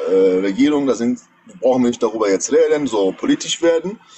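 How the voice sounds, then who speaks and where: A man is talking while music plays faintly behind him. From Iran. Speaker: caller, pilot; caller. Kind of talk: casual chat, storytelling. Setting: livestream video call. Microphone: phone near.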